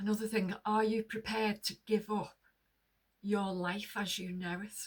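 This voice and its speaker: Somewhat breathy and monotone with flat intonation, a woman speaks at a fairly slow pace and a medium pitch. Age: 60s. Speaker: lifestyle vlogger. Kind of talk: casual monologue to camera. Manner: conversational.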